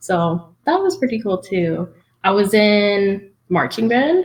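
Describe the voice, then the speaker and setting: Speaking at a very slow pace, a woman talks in a South Texas accent. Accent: South Texas American English. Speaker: game developer and producer. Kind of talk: interview conversation. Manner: casual with many fillers.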